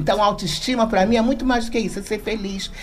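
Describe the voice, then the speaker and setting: Noticeable background noise surrounds the speaker. She is a woman with a medium pitch. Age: 60s. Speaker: social worker. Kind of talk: radio talk show discussion.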